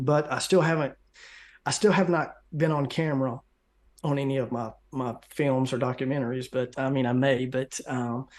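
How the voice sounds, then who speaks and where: Over a quiet background, a man speaks at medium pitch and a moderate pace with fairly even intonation. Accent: Southern US. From US South. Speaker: conspiracy researcher and video maker. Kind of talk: interview.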